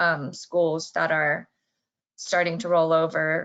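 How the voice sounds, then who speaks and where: Against a quiet background, a woman speaks at a moderate pace. She has a plain, everyday voice with a fairly low pitch. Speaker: association marketing specialist. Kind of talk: webinar presentation.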